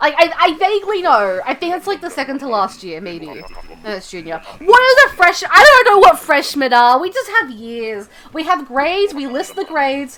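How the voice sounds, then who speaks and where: A woman's high, raised and projected voice in an American accent, with very wide pitch swings, big swings in loudness, a moderate pace and noticeable background noise. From outside the US. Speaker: streamer. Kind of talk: casual chat. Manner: rambling with many fillers.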